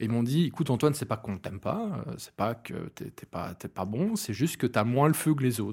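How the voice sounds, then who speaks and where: A man with a Belgian accent, medium-pitched and somewhat breathy, at a fairly quick pace on a very clean recording with a silent background. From Belgium, Hainaut. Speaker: event organizer. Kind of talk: casual interview.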